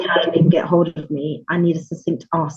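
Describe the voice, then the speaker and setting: A woman's somewhat breathy voice in a British accent, with fairly even intonation at a moderate pace. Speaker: podcast guest, mentor.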